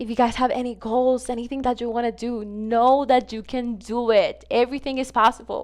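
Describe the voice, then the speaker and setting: A woman with a Spanish accent speaks at a moderate pace in a flat, monotone delivery. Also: quiet background. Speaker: gaming content creator. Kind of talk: casual vlog advice talk to viewers. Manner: casual, filler-heavy, repetitive.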